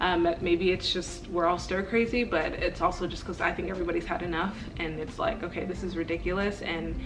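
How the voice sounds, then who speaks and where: Music plays in the background, and audible room echo surrounds the voice. The delivery is fairly quick, with fairly even intonation. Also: woman. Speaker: vlogger. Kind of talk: casual vlog monologue. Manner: passionate.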